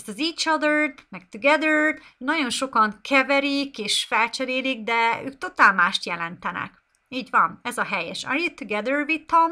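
Raising and projecting her high voice, a woman talks with hardly any pauses, lively intonation and a bright, sharp tone. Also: moderate pace, big swings in loudness, quiet background. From Hungary. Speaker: English teacher. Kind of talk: live online lesson. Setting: live stream. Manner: unscripted, off the cuff. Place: home room. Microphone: webcam.

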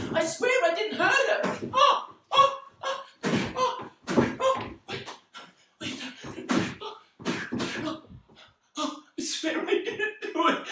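A man's raised, projected voice moves at a very slow pace with long, frequent pauses, amid audible room echo and noticeable background noise. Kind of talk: dramatic acted monologue. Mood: distressed, pleading, panicked. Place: home room. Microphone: camera far.

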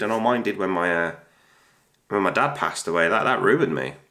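Speaking with a British accent, a man has a bright, sharp tone. His delivery is very fast with lively intonation. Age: 30s. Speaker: YouTuber. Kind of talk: casual vlog monologue.

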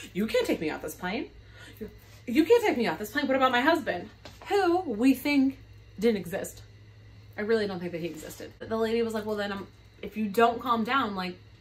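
Her intonation lively, a woman speaks at a fairly quick pace. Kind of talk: casual storytime vlog. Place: home room. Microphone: phone near.

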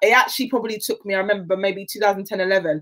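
Animated woman with a South London accent at a fairly quick pace against a quiet background. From South London (Catford, Lewisham). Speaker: athlete; guest. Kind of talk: interview.

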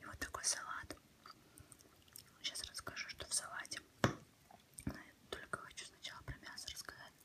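A woman is whispering at a moderate pace. She leaves long, frequent pauses. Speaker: ASMR creator. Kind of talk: casual talk to camera while eating. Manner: whispered, soft-spoken. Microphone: phone near.

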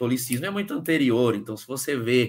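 Lively intonation marks this man's bright, sharp voice. He speaks at a moderate pace. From Brazil, Osasco (São Paulo) with Ceará family; Brazil. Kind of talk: interview testimony. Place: home room.

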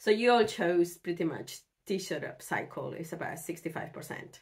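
A woman speaks at a moderate pace with lively intonation and a fairly low pitch. Her tone is slightly mellow.

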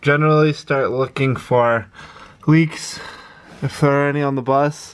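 At a fairly slow pace, a man is speaking. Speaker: bus conversion vlogger. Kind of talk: casual vlog chat. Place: bus. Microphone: phone near.

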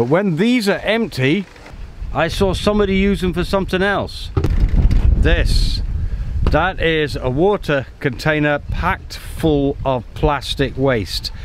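A man speaks at a very slow pace, his loudness very even throughout. The sound is dry with no echo, and there is noticeable background noise. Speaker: solo sailor vlogger. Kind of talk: casual vlog chat. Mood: relaxed, easygoing. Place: boat. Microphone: phone near.

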